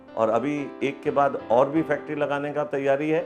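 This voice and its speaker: Music plays in the background. Over it, a man speaks at a fairly high pitch. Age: 70s. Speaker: retired engineering professor, factory owner. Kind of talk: patient testimonial.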